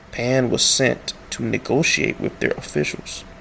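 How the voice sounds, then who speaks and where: A man speaks quietly at a fairly slow pace. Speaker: YouTube history commentator. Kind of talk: reading aloud with commentary. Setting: at home at night. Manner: speaking quietly; halting.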